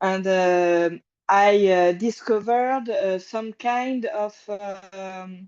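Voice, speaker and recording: A woman with a French accent speaks very slowly at a medium pitch, her loudness swinging widely. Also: ordinary pitch variation. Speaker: support group participant. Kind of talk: casual chat. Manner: halting, many fillers.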